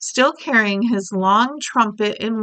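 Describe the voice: The speaker reads aloud plainly. The delivery is plain reading aloud.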